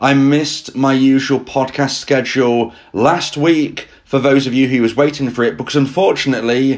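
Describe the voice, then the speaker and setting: Strained and at a medium pitch, a man speaks at a moderate pace with very even loudness, hardly any pauses and ordinary pitch variation. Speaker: breakup advice podcaster. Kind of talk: solo podcast advice talk. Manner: strained, struggling to speak.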